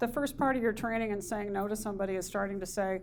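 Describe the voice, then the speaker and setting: A woman talks at a fairly quick pace with fairly even intonation in an ordinary speaking voice. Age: 60s. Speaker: motivational speaker. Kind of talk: workshop presentation. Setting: presentation to a group.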